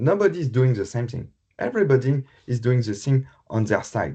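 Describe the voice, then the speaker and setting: A man speaks with a French accent at a medium pitch, somewhat breathy, in a dark, mellow tone. The background is quiet. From France. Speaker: health IT specialist. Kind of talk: conference presentation. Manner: halting.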